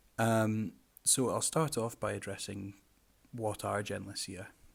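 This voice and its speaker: A man with a Scottish accent in a very clean recording, silent in the background. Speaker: carnivorous plant grower and presenter. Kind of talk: presentation lecture. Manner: hesitant, many fillers.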